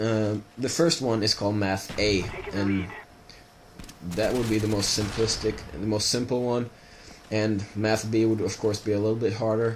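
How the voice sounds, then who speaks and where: A man speaks with a slight Swedish accent at a moderate pace. His pitch is fairly low, and his intonation is fairly even. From Sweden. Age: 20s. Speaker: gaming video creator. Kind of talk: casual monologue over gameplay. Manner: halting, many fillers.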